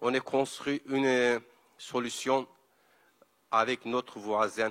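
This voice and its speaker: A man speaks at medium pitch with monotone, flat intonation. His pace is very slow, and the sound is dry and close with no echo. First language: Kurdish (speaking French). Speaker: environmental activist. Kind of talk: panel talk. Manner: halting.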